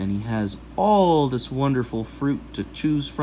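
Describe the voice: The reading aloud is plain, though the intonation is lively.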